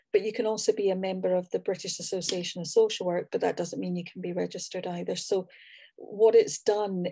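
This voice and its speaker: Against a quiet background, a woman with a Scottish accent talks at a fairly quick pace. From Scotland. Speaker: social work academic. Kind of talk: panel discussion.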